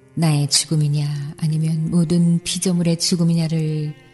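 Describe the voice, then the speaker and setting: Over music in the background, the voice moves at a very slow pace in a calm, soothing tone. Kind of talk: prayer reading / devotional meditation narration. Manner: calm, soothing, soft-spoken.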